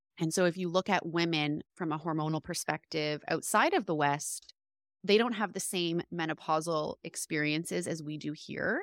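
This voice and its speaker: A woman speaks in a normal speaking voice at a fairly low pitch and moderate pace. Her intonation is fairly even, in a very clean recording with a silent background and a dry, close sound with no echo. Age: 30s. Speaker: homeschooling mother and women's guide. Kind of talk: interview.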